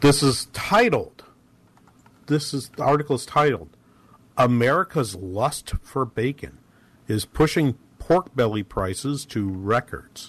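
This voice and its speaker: Speaking at a very slow pace with long, frequent pauses, this man has a somewhat breathy, medium-pitched voice and lively intonation. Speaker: radio host. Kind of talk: live radio talk show on economics. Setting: radio studio, live broadcast. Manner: conversational, halting with repeated words and fillers.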